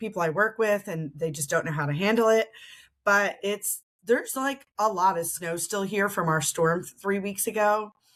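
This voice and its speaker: In a very clean recording with a silent background, a woman with an American accent speaks in an animated tone at medium pitch and a moderate pace, with ordinary pitch variation. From Philadelphia, US. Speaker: podcast host. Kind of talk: casual chat.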